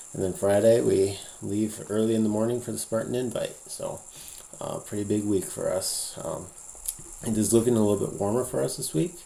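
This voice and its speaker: Speech moves at a fairly quick pace with noticeable noise in the background. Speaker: high school cross country coach. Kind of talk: casual vlog update. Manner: hesitant, many fillers.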